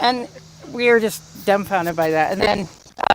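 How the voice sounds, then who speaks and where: Noticeable noise can be heard in the background. The speaker keeps a moderate speed. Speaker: teacher and family friend. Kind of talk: eulogy anecdote at memorial. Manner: loud.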